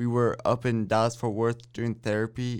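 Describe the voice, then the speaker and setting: A man with an American accent speaks at a medium pitch in a flat, monotone delivery. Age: 20s. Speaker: college student, brain injury survivor. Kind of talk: interview.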